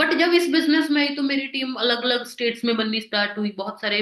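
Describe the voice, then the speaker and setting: This woman has a Punjabi accent and talks at a moderate pace. Her pitch varies in an ordinary way. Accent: Punjabi-accented Hindi. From Punjab, India. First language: Punjabi (speaking Hindi). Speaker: network marketing business leader. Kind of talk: motivational presentation.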